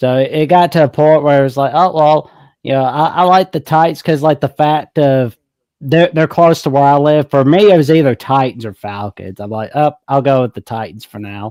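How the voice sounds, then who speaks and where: In a very clean recording with a silent background and a dry, close sound without echo, a man with a Southern accent and a fairly high pitch talks at a moderate pace with ordinary pitch variation. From US South, Alabama. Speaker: caller. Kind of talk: casual chat.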